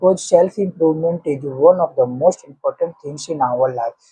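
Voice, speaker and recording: With an Indian accent, a man speaks at a fairly high pitch in a dark, mellow tone with ordinary pitch variation, in a dry, close sound with no echo. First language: Hindi. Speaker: English teaching vlogger. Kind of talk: motivational talk. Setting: at home, early morning with family sleeping.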